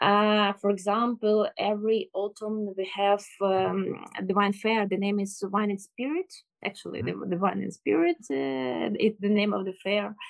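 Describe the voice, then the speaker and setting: The speech comes at a fairly slow pace with ordinary pitch variation and a Ukrainian accent. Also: woman, medium pitch for a woman. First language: Ukrainian or Russian. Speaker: sommelier. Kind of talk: interview. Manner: halting. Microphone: bad internet connection.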